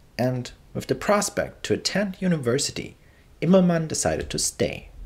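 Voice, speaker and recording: A man speaks with a German accent. His voice carries vocal fry. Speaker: history narrator. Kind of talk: scripted narration.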